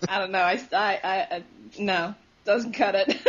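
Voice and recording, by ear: Delivery comes at a fairly slow pace with fairly even intonation. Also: woman, medium pitch for a woman.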